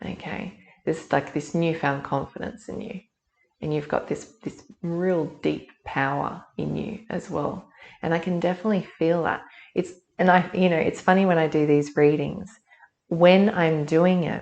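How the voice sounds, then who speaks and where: In an ordinary speaking voice, a woman talks at a moderate pace with fairly low pitch and fairly even intonation. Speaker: intuitive reader. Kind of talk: collective energy reading. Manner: conversational.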